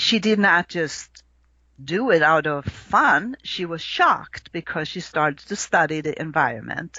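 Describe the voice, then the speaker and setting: Her voice is fairly low for a woman, with a slight Swedish accent. She talks at a fairly slow pace. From Sweden. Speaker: astrologer. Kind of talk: podcast interview.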